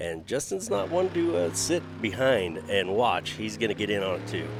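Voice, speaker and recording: A man at a fairly low pitch with ordinary pitch variation, a moderate pace, and music in the background. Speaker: monster truck show commentator. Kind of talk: color commentary.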